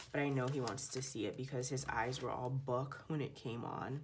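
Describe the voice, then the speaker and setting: Noticeable background noise and audible room echo fill the recording. A woman with a very deep, low pitch speaks fairly quickly. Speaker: planner video creator. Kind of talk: casual tutorial. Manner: chatty, casual.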